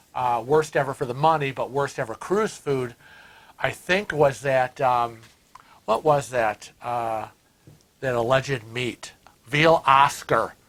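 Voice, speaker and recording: Using a Western New York accent, a man with a medium-pitched voice speaks very slowly, with long, frequent pauses and ordinary pitch variation. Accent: Western New York American. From US Northeast (Rochester, New York). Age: 60s. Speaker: cruise vlogger. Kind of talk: casual chat.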